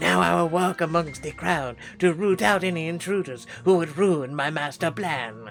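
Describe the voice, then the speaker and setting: Over clear background music, a man in a put-on character voice speaks at a moderate pace with a fairly high pitch and hardly any pauses. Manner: menacing.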